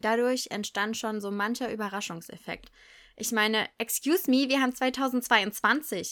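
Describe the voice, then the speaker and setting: A woman with a fairly high pitch speaks at a fairly slow pace in an animated tone. Her pitch varies in an ordinary way, on a very clean recording with a silent background. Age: 20s. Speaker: primary school teacher, podcast host. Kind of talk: solo podcast monologue. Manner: animated, laughing often.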